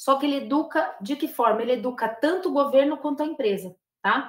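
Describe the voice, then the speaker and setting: A woman talks at a moderate pace in a high pitch. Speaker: professor and lobbying expert. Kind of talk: lecture.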